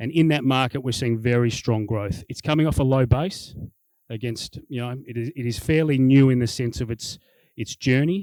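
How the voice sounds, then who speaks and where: A man with an Australian accent speaks fairly quickly at medium pitch, with ordinary pitch variation and a dry, close sound with no echo. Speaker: business executive. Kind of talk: corporate presentation. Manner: fast; animated.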